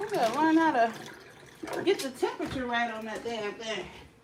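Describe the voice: A woman speaks in a fairly high voice with big pitch swings. Room echo can be heard. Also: moderate pace.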